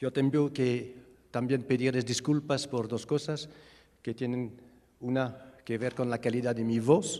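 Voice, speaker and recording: A man with a non-native accent speaks at a medium pitch and a fairly slow pace, his intonation fairly even and his tone dark and mellow. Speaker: refugee expert and researcher. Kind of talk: lecture. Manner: halting.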